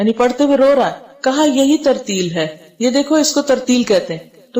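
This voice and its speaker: A woman speaks with a high-pitched voice. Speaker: Islamic scholar giving a lecture. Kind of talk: Quran lecture (tafsir-style bayan).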